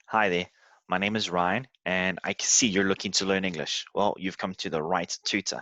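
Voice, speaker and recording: A man's very deep, low voice with a bright, sharp tone at a fairly quick pace, in a dry, close sound with no echo and a quiet background. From South Africa and Canada. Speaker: English tutor. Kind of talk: sales pitch. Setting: screen-share video. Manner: halting.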